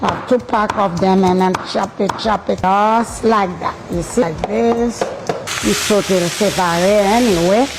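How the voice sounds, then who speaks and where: At a fairly slow pace, a woman with a medium pitch and ordinary pitch variation keeps her loudness very even over noticeable background noise. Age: 80s+. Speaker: home cook. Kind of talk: cooking tutorial.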